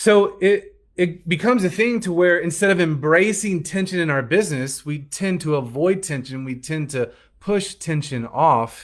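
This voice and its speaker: A man with an American accent speaks at a high pitch and moderate pace, with lively intonation. He hardly pauses, on a very clean recording with a silent background. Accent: Southern accent, comes out at times. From US South, Alabama. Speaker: business coach. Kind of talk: business training talk.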